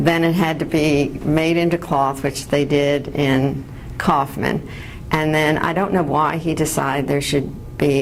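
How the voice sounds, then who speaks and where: With an American accent, a woman speaks fairly slowly in a very deep, low voice, her intonation monotone and flat and her loudness very even, over noticeable background noise. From New York City. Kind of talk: interview answer.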